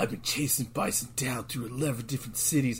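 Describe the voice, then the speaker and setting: Putting on a gruff character voice at a medium pitch, a man speaks at a moderate pace against clear background noise. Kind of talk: tough-guy, clipped. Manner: cheesy, gruff.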